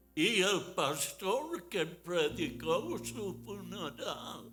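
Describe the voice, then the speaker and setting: A man's raised, projected, high-pitched voice at a very slow pace, with music in the background. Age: 80s+. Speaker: Bible teacher. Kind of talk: Bible study class.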